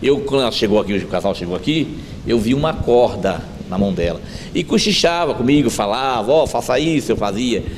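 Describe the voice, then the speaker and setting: Medium-pitched male voice at a moderate pace, lively intonation, noticeable background noise. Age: 60s. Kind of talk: interview, personal testimony.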